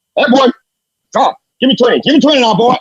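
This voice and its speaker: A put-on character voice, fairly high in pitch, at a very fast pace. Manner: barking, commanding.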